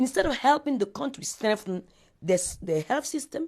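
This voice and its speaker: Against a quiet background, a speaker with a West African accent sounds animated and passionate, with very wide pitch swings. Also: woman. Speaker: interviewee, speaker on Africa. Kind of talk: interview. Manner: animated, passionate; halting, with repetitions.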